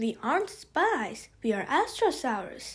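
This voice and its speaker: A woman's put-on character voice, high in pitch, fairly slow, with very wide pitch swings. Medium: read story.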